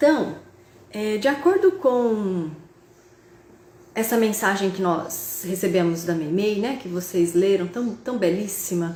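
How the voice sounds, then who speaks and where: Amid noticeable background noise and audible room echo, a woman at a medium pitch talks very slowly with long, frequent pauses and ordinary pitch variation. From Brazil, interior of São Paulo state (Tupã). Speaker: spiritist speaker and university professor. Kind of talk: online lecture. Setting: video call. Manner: halting, with fillers and repetitions.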